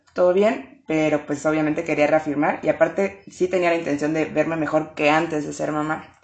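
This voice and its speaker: A woman's normal speaking voice, fairly low in pitch, at a moderate pace. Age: 20s. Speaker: pole dance instructor. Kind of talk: interview.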